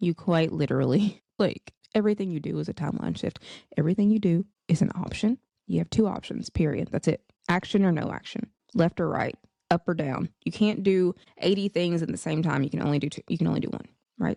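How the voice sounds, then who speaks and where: Her dark, mellow tone carries vocal fry as this woman speaks at a fairly low pitch and fairly quick pace with ordinary pitch variation, in a dry, close sound with no echo. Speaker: podcast host. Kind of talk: casual monologue. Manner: animated.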